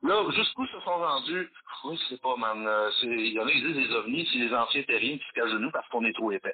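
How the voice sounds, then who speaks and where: A man speaks at a fairly quick pace with noticeable background noise. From Quebec, Valleyfield. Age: 50s. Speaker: metal musician and history teacher. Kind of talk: casual interview. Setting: phone call.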